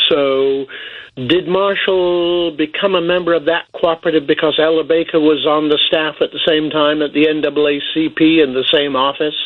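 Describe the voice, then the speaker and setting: With an English accent, a man talks at a fairly high pitch and with fairly even intonation. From England (Boston, Lincolnshire). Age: 70s. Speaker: cooperative historian. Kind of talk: radio interview. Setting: phone call.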